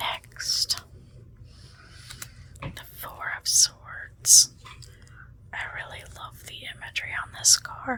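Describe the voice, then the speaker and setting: Whispering in a gentle tone, a woman speaks very slowly, with long, frequent pauses. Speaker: ASMR and tarot content creator. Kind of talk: ASMR tarot card reading, casual talk to camera. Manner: soft, gentle, lo-fi whisper-style ASMR.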